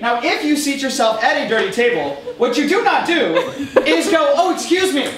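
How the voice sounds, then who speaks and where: A man with an extremely high pitch speaks with very wide pitch swings. Audible room echo and noticeable background noise surround him. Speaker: comedian performing a comedy show. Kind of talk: stand-up. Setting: stage with audience. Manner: loud.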